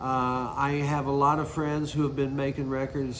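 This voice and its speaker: With audible room echo, a man speaks in an American accent. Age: 60s. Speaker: singer-songwriter. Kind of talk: interview monologue. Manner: casual, conversational.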